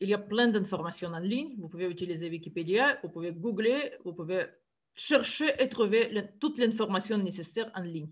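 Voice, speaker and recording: A woman with a Russian accent speaks at a moderate pace and medium pitch, somewhat breathy. Her intonation is lively and her loudness swings widely. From Siberia, Russia. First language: Russian (speaking French). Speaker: university math lecturer. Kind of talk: lecture. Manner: halting, with frequent hesitations.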